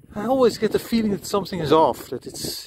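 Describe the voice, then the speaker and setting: A man's dry sound with no echo, over noticeable background noise. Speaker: cyclist reviewing bike lights. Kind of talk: casual ride commentary. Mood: annoyed, critical. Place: bicycle. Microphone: camera far.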